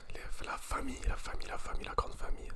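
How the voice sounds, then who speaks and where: Noticeable background noise sits behind the whispering. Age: 20s. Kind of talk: ASMR talk to camera. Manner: whispered.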